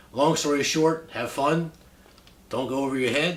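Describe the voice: At a moderate pace, a man with a medium pitch and a fairly bright tone speaks with ordinary pitch variation and audible room echo.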